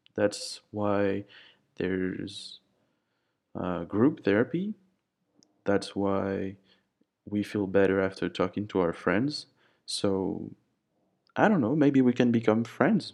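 A man with a French accent speaks at a very slow pace with long, frequent pauses. His pitch is fairly low, and the recording is very clean with a silent background. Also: ordinary pitch variation. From France. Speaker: podcast host. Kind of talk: solo podcast monologue. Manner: hesitant, with fillers.

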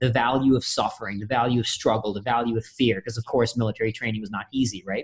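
A man with a medium pitch talks at a very fast pace in an American accent. His voice is somewhat breathy, with ordinary pitch variation. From India, then Austin, Texas as a teen. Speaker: Marine veteran, speaker, author, adventurer. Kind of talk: interview conversation.

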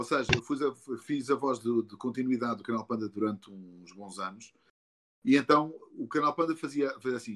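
At a moderate pace, a man talks in an animated tone. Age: 40s. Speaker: voice actor. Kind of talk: casual interview.

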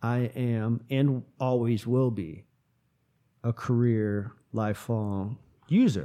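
A man's medium-pitched, dark, mellow voice at a very slow pace, with ordinary pitch variation and long, frequent pauses. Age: 30s. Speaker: podcast host in addiction recovery. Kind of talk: casual interview. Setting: hotel conference room.

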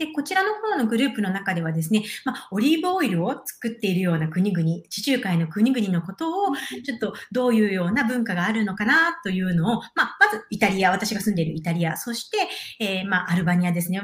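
A woman's medium-pitched voice at a fairly quick pace, with lively intonation and hardly any pauses, against noticeable background noise. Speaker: intercultural exchange project director. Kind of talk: interview conversation. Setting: live video stream.

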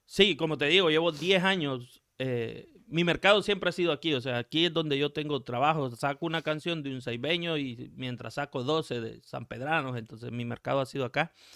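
A man with a normal speaking voice, fairly high pitch and ordinary pitch variation, at a moderate pace with hardly any pauses. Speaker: music producer. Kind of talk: interview.

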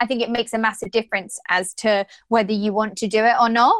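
The speaker talks at a very fast pace with an English accent. The sound is dry and close, with no echo. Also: woman. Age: 20s. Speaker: podcast co-host. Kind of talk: casual chat.

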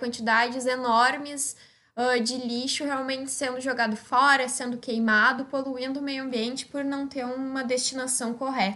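A woman talks in a raised, projected voice at a high pitch. Her pace is moderate and her intonation fairly even. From Rio Grande do Sul, Brazil (Osório). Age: 20s. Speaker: young scientist. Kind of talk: personal testimony.

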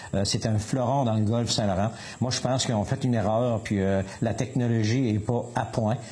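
A man with a medium pitch delivers his words at a moderate pace. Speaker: municipal councillor and fisherman. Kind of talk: radio interview. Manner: halting.

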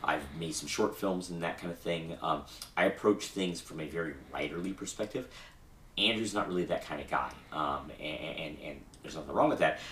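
Very deep and low in pitch, a man talks at a fairly quick pace with ordinary pitch variation and big swings in loudness. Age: 30s. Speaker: podcast host and tabletop gamer. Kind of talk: casual chat.

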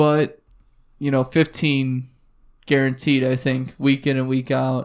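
This man speaks at a moderate pace. His intonation is monotone and flat. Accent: American. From United States. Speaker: fantasy football podcast host. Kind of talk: casual chat.

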